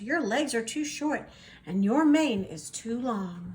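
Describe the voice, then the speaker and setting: A woman's put-on character voice, fairly high in pitch, at a fairly slow pace. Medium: read story. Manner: earnest, supportive.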